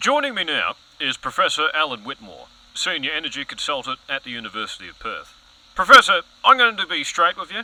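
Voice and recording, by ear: A man uses a put-on character voice with a bright, sharp tone and a fairly high pitch. He talks at a fairly quick pace, and his pitch swings very widely.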